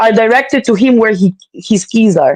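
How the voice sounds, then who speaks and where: Talking at a fairly quick pace with ordinary pitch variation, a woman speaks in a non-native accent. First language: not English. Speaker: mother of three, guest. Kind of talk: casual chat. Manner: animated.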